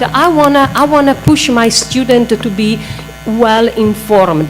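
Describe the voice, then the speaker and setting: A woman with an Italian accent talks at a fairly slow pace and a fairly high pitch, her pitch swinging very widely over noticeable background noise. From Italy (Milan). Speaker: astronomy professor. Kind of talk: panel talk. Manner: animated.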